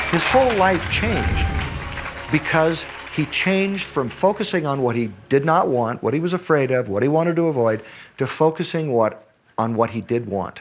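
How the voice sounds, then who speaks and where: Lively in intonation and fairly high in pitch, a man talks at a moderate pace while music plays behind him. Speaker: teacher. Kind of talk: testimony.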